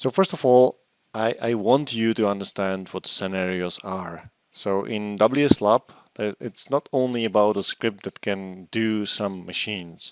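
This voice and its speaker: With a Czech accent, a man speaks at a fairly slow pace in a fairly low pitch with ordinary pitch variation, the sound dry and close with no echo. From Czech Republic. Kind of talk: technical presentation. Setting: online conference.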